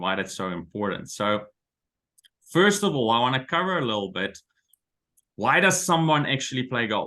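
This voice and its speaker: A man speaks fairly quickly in a Dutch accent, his medium pitch making very wide swings. His tone is bright and sharp. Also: quiet background. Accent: Dutch accent, picked up in South Africa. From Netherlands. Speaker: golf coach and business consultant. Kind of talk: webinar presentation. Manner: hesitant, with frequent fillers and repeats.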